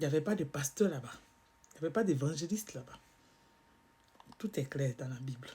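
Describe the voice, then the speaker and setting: Speech at a moderate pace is broken by long, frequent pauses. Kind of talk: religious teaching monologue.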